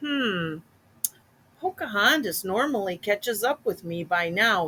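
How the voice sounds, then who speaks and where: A put-on character voice, female-sounding, with a fairly high pitch and a fairly slow pace. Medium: read story. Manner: calm, warm.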